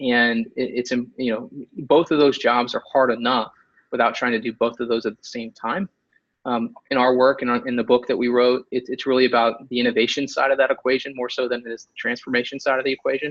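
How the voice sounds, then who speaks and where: A man talks at a fairly quick pace in a monotone with flat intonation. His loudness swings widely. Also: medium pitch for a man. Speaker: author and innovation consultant. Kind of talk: webinar presentation. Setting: online webinar. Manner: fast; many fillers and restarts.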